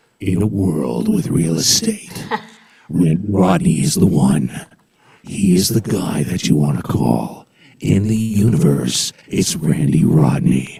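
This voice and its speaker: A man's put-on character voice, very deep and low, with very wide pitch swings at a fairly slow pace. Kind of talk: dramatic, trailer-style. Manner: romantic.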